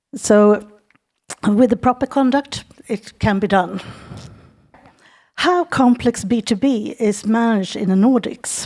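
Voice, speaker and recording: A woman with a Swedish accent speaks at a fairly slow pace and fairly high pitch with ordinary pitch variation and long, frequent pauses, on a very clean recording with a silent background. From Sweden. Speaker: business consultant. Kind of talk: presentation.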